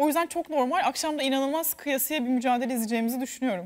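Over a quiet background, the voice moves at a very fast pace with ordinary pitch variation. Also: woman. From Turkey. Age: 20s. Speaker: TV commentator and former contestant; TV show co-host. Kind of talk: casual chat. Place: studio. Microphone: lapel.

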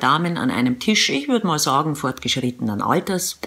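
With very wide pitch swings, a woman talks at a moderate pace over a quiet background. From Eastern Bavaria. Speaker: radio presenter and mom vlogger. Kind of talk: humorous vlog monologue to camera. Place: home room. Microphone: phone near.

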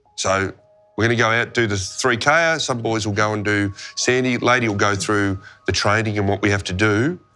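Over faint background music, a man with a fairly low pitch speaks at a moderate pace and with fairly even intonation. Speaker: football coach. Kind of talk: motivational team talk. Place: meeting room.

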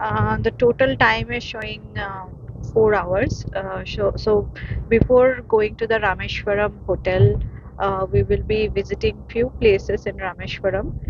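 Noticeable background noise sits behind a woman speaking fairly slowly. The sound is dry, with no echo. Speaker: travel vlogger. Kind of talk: casual vlog chat. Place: car. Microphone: phone near.

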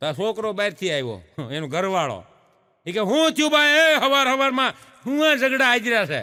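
A man speaks in a raised, projected voice with a bright, sharp tone and a high pitch. His pitch swings very widely on a very clean recording with a silent background. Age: 50s. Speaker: comedian. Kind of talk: stand-up.

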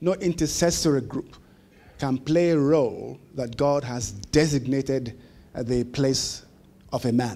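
The man's voice has a dark, mellow tone. His pace is fairly slow. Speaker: keynote speaker. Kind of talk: sermon. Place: meeting room. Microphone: handheld.

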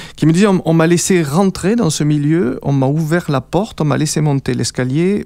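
At a moderate pace with hardly any pauses, the voice has a dark, mellow tone and lively intonation, with a dry sound, no echo, and a quiet background. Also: man. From France. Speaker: radio presenter. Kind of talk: radio interview. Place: studio. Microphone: studio mic.

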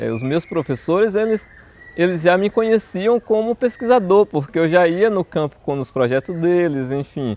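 Lively intonation marks this man's high voice. He speaks at a moderate pace, and the sound is dry with no echo. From southern Bahia, Brazil (Una); Bahia, Brazil. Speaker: botany professor. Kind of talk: personal testimony interview. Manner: halting, with repetitions. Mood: warm, reflective. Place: garden. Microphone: lapel.

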